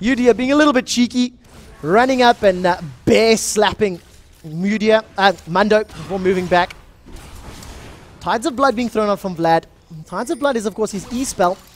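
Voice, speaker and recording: Over noticeable background noise, a man with a high voice speaks at a moderate pace in an animated tone with lively intonation. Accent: South African. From South Africa. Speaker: esports shoutcaster. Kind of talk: live commentary.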